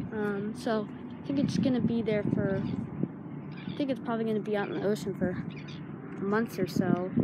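Loud background noise surrounds a dry, echo-free voice speaking at a moderate pace. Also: woman. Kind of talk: casual vlog chat. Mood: excited, curious. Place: open country. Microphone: phone near.

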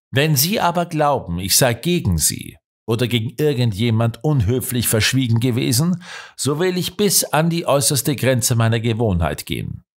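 A man talks in a plain, everyday voice at a medium pitch. His intonation is lively and his pace is moderate. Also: very clean recording, silent background. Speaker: audiobook narrator. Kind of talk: audiobook narration, scripted reading of a crime story. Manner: measured, steady storytelling pace, shifting tone for dialogue and suspense; formal, literary delivery.

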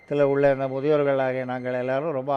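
A man talks in a monotone, flat intonation against noticeable background noise. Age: 60s. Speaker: blind care home resident. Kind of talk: interview testimony.

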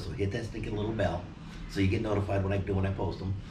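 A man with an American accent, fairly low in pitch and monotone, at a very fast pace over noticeable background noise. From Phoenix, Arizona, US; Arizona. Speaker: vlogger. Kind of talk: casual chat. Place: home room.

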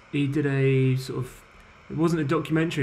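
A man's fairly even intonation comes with a somewhat breathy quality. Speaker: podcast panelist. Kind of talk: casual roundtable discussion. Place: home room. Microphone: video call.

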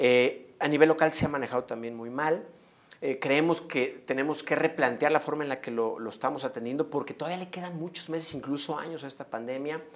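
A normal speaking voice with fairly even intonation and big swings in loudness. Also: man, fairly high pitch for a man, fairly quick pace. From Mexico, León, Guanajuato; Guanajuato, Mexico. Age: 30s. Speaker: mayoral candidate; candidate. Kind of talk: interview. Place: studio. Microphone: lapel.

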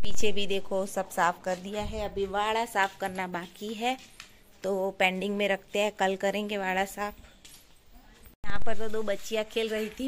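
A woman talks at a fairly slow pace with monotone, flat intonation. Light background noise is present. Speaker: family vlogger. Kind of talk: casual vlog chat. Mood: cheerful. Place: home room. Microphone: phone near.

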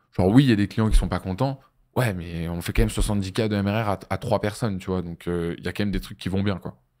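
A man's fairly low, dark, mellow voice at a fairly quick pace with ordinary pitch variation, over a quiet background. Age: 20s. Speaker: agency founder and entrepreneurship trainer; entrepreneurship trainer. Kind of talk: business masterclass interview. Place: studio. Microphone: studio mic.

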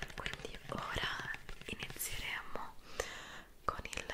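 A woman whispers at a very slow pace. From Italy. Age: 20s. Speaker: ASMR creator. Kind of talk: ASMR skincare roleplay. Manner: soft-spoken, calm. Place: home room. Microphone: studio mic.

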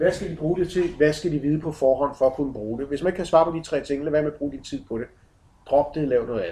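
A man talks at a very fast pace in a fairly high pitch with ordinary pitch variation. His tone is dark, mellow and somewhat breathy. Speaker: project manager giving a talk. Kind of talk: conference presentation. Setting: conference with slides. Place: hall. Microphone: camera far.

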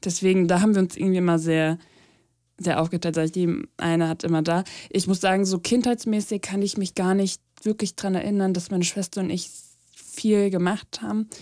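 Over a silent background in a very clean recording, a woman talks at a fairly quick pace. Her voice has a medium pitch and a dark, mellow tone. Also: fairly even intonation. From Germany, small village. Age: 20s. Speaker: podcast co-host. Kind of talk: casual chat.

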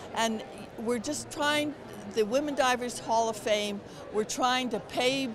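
Over noticeable background noise, a woman speaks in a high pitch with ordinary pitch variation, the sound dry with no echo. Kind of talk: interview answer. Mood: warm, enthusiastic. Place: hall. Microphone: handheld.

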